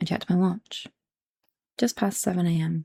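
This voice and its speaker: Soft-spoken, a woman talks at a fairly quick pace in a dry, close sound with no echo. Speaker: ASMR creator. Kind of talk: book reading to help sleep.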